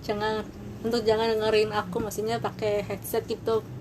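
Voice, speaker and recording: The voice belongs to a woman speaking at a fairly high pitch. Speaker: vlogger. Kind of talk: casual personal storytelling. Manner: halting, many repetitions.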